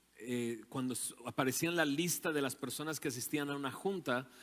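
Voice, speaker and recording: A man with a fairly high pitch, ordinary pitch variation and a moderate pace. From Mexico, Monterrey area (Nuevo León). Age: 40s. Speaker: invited speaker. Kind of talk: talk to church audience. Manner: conversational, with hesitations.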